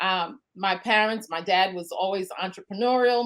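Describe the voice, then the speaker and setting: A woman's medium-pitched voice with a Brooklyn accent and fairly even intonation. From Brooklyn, New York. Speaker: home-based business entrepreneur. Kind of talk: interview. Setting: podcast.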